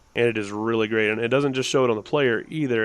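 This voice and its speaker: A man's medium-pitched voice at a very fast pace, over noticeable background noise. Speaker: gaming streamer. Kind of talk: live gameplay commentary. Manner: halting.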